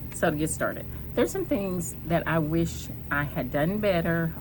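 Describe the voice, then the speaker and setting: A woman with a very deep, low voice and ordinary pitch variation speaks at a moderate pace amid audible room echo. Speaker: cancer survivor vlogger. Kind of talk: personal vlog. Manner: soft-spoken, hesitant with many ums.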